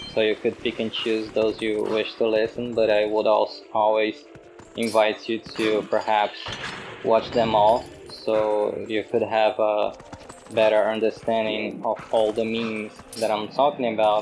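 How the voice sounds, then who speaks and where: With a non-native accent, a man speaks fairly slowly at a fairly low pitch in a monotone, flat intonation, over noticeable background noise. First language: not English. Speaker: video essayist. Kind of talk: monologue reflection.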